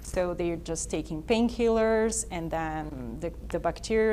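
A woman speaks with a Portuguese accent amid audible room echo. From Brazil. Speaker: dentist, prosthodontist. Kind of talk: explanatory presentation.

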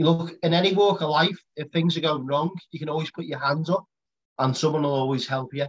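A man speaks at a fairly quick pace in a somewhat breathy voice with ordinary pitch variation. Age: 30s. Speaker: podcast host. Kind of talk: casual chat.

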